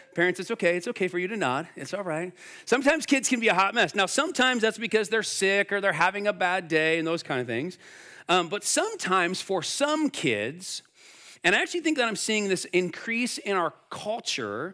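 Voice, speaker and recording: In a very clean recording with a silent background, a high-pitched man uses a raised, projected voice, bright and sharp in tone, moving at a fairly quick pace with very wide pitch swings. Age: 40s. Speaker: pastor. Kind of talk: sermon. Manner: animated.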